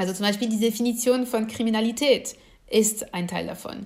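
A woman with a fairly high pitch and a somewhat breathy voice speaks at a fairly quick pace with ordinary pitch variation, and audible room echo surrounds her. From France. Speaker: political scientist. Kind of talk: lecture.

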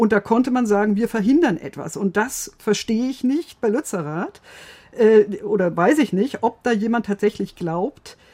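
Her tone dark and mellow, a woman speaks at a fairly high pitch and a fairly slow pace with lively intonation. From Bavaria, Germany. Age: 50s. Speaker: legal and political correspondent. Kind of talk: casual chat. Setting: studio.

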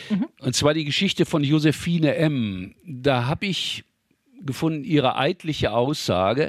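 In a very clean recording with a silent background and a dry, close sound with no echo, a man talks in an ordinary speaking voice, fairly high in pitch, at a fairly slow pace with lively intonation. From Ruhr area, Germany. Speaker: local history author. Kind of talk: interview, storytelling.

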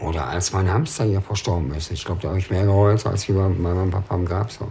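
Here a man speaks with a very deep, low pitch. His pace is moderate. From Ruhr area, Germany. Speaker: former prisoner. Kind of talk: documentary interview.

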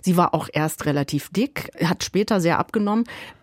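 This woman talks at a fairly quick pace in a medium pitch. Her pitch swings very widely, and the sound is dry and close with no echo. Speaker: music radio journalist. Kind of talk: radio conversation.

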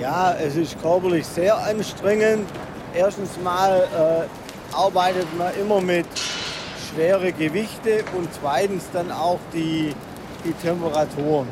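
A man's high-pitched voice at a very slow pace with long, frequent pauses and fairly even intonation, amid audible room echo and noticeable background noise. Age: 50s. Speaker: foundry manager. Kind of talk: interview and work narration. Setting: foundry hall.

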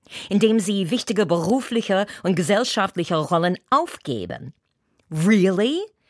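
Very slow speech fills a very clean recording with a silent background. The sound is dry and close, with no echo. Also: woman. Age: 60s. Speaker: entertainer and actress. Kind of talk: scripted opinion commentary. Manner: animated.

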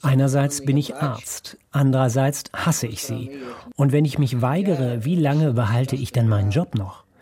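A man with a medium pitch speaks in a dark, mellow, somewhat breathy tone. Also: ordinary pitch variation, moderate pace. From Ukraine. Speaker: doctor, psychiatrist. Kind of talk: interview testimony (German voice-over). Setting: video call from his kitchen.

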